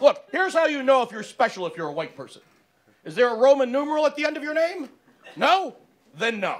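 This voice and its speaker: A man's extremely high-pitched, very fast speech with very wide pitch swings, big swings in loudness, and long, frequent pauses. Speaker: stand-up comedian. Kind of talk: stand-up. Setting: stage with audience.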